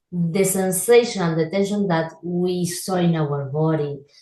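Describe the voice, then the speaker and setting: A woman with a non-native accent has a fairly low pitch and a somewhat breathy voice. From Argentina. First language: Spanish. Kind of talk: interview. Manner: halting.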